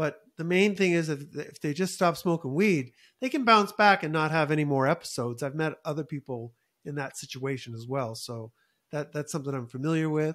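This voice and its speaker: Against a quiet background, a man speaks at a fairly quick pace with big swings in loudness and ordinary pitch variation. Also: fairly high pitch for a man. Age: 50s. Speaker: podcast host. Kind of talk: interview conversation. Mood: relaxed, animated. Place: home room. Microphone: studio mic.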